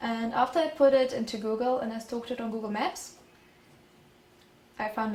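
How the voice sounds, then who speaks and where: In a German accent, a woman with a high pitch talks at a moderate pace with fairly even intonation. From Germany. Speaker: exchange student. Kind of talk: presentation.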